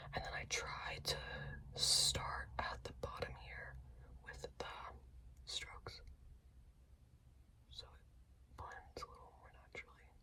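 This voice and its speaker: A very slow pace, long and frequent pauses, and noticeable background noise. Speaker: ASMR creator. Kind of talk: ASMR makeup routine talk. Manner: whispered.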